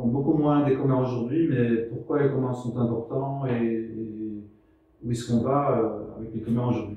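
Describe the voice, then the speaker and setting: A Belgian-accented man talks at a medium pitch and a fairly slow pace, with fairly even intonation and audible room echo. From Belgium. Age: 60s. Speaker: researcher and speaker on the commons. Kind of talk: lecture. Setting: venue with live audience. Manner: halting, many hesitations.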